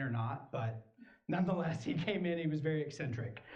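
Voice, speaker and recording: A somewhat breathy man at a fairly quick pace, ordinary pitch variation, and audible room echo. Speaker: chiropractor. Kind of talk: speech. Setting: stage with audience. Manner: animated.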